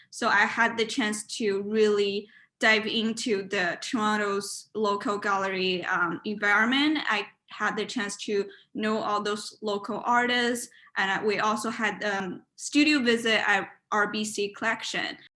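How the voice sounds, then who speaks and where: This woman has a Chinese accent and a bright, sharp tone. Her intonation stays fairly even. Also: fairly slow pace. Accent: Mandarin Chinese. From China. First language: Mandarin. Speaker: university student and art committee chair. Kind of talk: interview. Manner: halting, with many fillers. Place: home room. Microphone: webcam.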